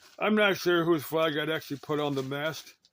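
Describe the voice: A man's fairly high-pitched voice with a fairly bright tone at a fairly quick pace. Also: ordinary pitch variation.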